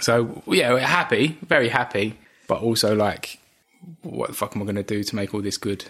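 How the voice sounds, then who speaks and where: A man's medium-pitched voice with an Essex accent, at a moderate pace and with ordinary pitch variation. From Essex, England. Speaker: host's husband, expectant father. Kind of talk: casual chat.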